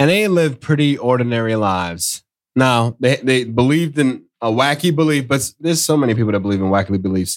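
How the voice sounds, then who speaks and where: A man with a Southern US accent talks very fast at a medium pitch, his loudness very even. His intonation is lively. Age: 40s. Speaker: podcast host. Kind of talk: casual chat.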